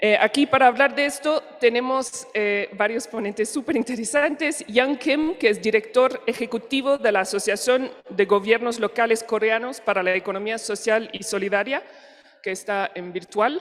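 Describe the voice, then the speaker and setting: Over noticeable background noise, a woman with a French accent speaks at a moderate pace and fairly high pitch, with ordinary pitch variation. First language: French (speaking Spanish). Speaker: panel moderator. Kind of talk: conference moderation. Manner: halting.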